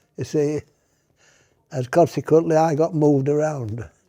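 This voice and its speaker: A man's dark, mellow tone in a Yorkshire accent. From Yorkshire, England. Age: 80s+. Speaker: retired shop manager, army veteran. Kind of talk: interview answer.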